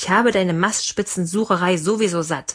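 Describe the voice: This reading aloud is plain, and its pitch varies in an ordinary way.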